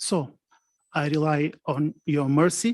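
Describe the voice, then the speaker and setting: A man with a non-native accent, fairly high in pitch with ordinary pitch variation, in a dry, close sound with no echo and a quiet background. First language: not English. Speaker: prosecutor. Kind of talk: conference presentation. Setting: conference with interpreters and online participants. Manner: halting.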